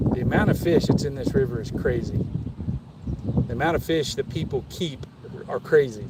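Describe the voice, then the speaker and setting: A man with an American accent talks at a moderate pace in a fairly high voice, with ordinary pitch variation. Long, frequent pauses break up his speech, and there is noticeable background noise. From Kansas. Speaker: fishing livestreamer. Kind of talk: casual live stream chat. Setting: outdoors on a small boat on a river. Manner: casual, with stammers and restarts.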